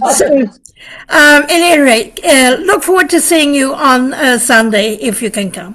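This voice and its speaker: A woman's high, bright, sharp voice at a fairly slow pace, with lively intonation. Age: 70s. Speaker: community member at advisory board meeting. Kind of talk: meeting announcement.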